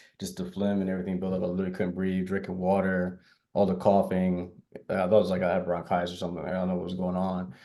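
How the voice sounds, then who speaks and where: A man with an American accent and a very deep, low pitch talks very fast in a monotone, flat way, his tone dark and mellow, with audible room echo. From Texas (Houston). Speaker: tech company founder and CEO. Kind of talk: panel discussion.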